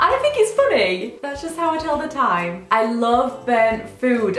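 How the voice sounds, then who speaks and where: An animated voice moves at a moderate pace, with noticeable background noise and audible room echo. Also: woman. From northern England, Sheffield. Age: 20s. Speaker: beauty and lifestyle vlogger. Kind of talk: casual chat to camera. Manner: chatty, animated.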